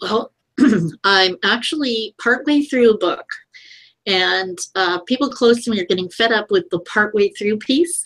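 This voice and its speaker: Using a plain, everyday voice, a woman speaks at a fairly high pitch with lively intonation and a fairly slow pace. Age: 60s. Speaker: digital strategist. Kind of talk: interview.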